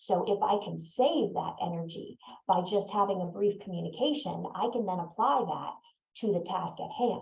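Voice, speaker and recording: The speaker is female. There is a somewhat breathy quality to her voice. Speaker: neurodiversity consultant. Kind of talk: webinar talk. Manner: pauses.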